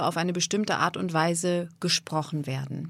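With an ordinary speaking voice, a woman talks at a moderate pace with ordinary pitch variation. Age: 40s. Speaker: voice and speech coach. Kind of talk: interview.

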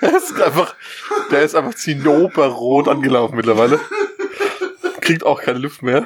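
Noticeable background noise sits behind a man with a fairly high pitch and ordinary pitch variation. He talks at a moderate pace, with long, frequent pauses. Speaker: podcast co-host. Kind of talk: casual chat. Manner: laughs a lot.

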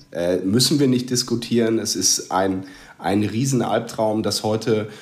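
Audible room echo around a man's fairly low voice, with a fairly slow pace and fairly even intonation. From Westphalia, Germany. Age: 30s. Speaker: football fan. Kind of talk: casual chat.

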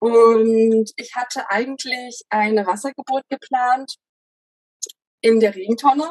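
A woman speaks very slowly at a fairly high pitch, her intonation fairly even and her loudness swinging widely. Long, frequent pauses break up her speech, and the sound is dry and close with no echo. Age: 20s. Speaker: mother sharing home birth story. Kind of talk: interview testimony. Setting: child present during recording.

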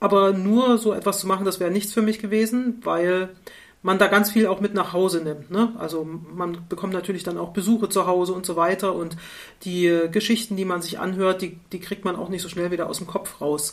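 A woman uses an ordinary speaking voice at a moderate pace and a medium pitch. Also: fairly even intonation. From East Germany, Rostock. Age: 50s. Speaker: university engineering researcher. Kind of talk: casual interview conversation. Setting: online call.

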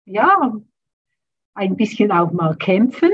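At a fairly slow pace, a woman speaks with medium pitch. Her voice is somewhat breathy. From rural German-speaking area, grew up on a farm. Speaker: trauma therapist. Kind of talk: interview.

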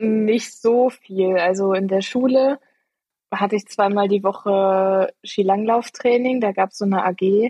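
Speaking very slowly, a woman keeps her loudness very even and her intonation fairly even at a medium pitch. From Eifel, western Germany. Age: 20s. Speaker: amateur racing cyclist. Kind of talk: casual interview.

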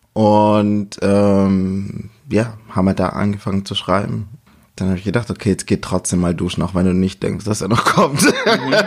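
Here is a man with a plain, everyday voice at a fairly low pitch. He keeps a moderate pace and fairly even intonation. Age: 30s. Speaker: podcast guest. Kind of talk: casual chat. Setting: at the guest's home in Stuttgart.

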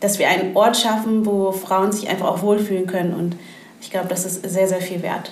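A woman at medium pitch speaks at a moderate pace in a flat, monotone way. Background noise is noticeable, and the room has an audible echo. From Hamburg. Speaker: network co-founder and entrepreneur. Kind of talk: podcast interview.

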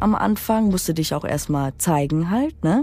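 Her very deep, low pitch and dark, mellow tone carry lively intonation as this woman speaks at a fairly slow pace. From Romania, raised in Germany. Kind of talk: testimony.

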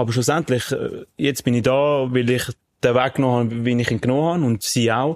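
A man's ordinary speaking voice at medium pitch, fairly quick in pace and very even in loudness. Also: fairly even intonation. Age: 20s. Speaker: podcast co-host, professional athlete. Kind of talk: casual chat.

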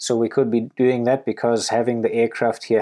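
A man with a German accent speaks fairly quickly at a medium pitch, his tone dark and mellow against a quiet background. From Germany. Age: 30s. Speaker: wildlife conservationist. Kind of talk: podcast Q&A monologue.

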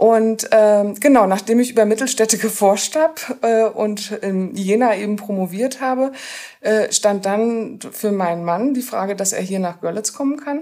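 Speaking at a moderate pace with ordinary pitch variation, a woman uses an ordinary speaking voice. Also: fairly high pitch for a woman. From northern Germany, Rostock. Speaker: sociologist and university lecturer. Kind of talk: interview about a degree programme. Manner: many filler sounds.

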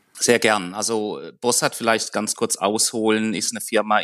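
A man talks at a medium pitch. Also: dry, close sound with no echo, quiet background. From Germany. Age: 40s. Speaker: corporate training academy head, engineer. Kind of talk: podcast interview.

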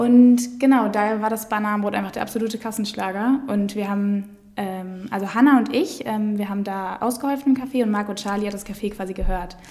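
A woman speaks at a moderate pace with a fairly high pitch and ordinary pitch variation. She has an unremarkable speaking voice. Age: 20s. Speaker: food startup co-founder. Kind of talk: casual interview. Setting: studio, in person.

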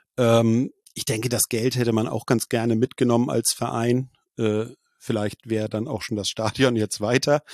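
Against a quiet background, a man talks at a moderate pace in a medium pitch with monotone, flat intonation. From Schleswig-Holstein, northern Germany. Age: 40s. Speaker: football journalist and blogger. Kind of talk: casual interview. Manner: hesitant with frequent fillers.

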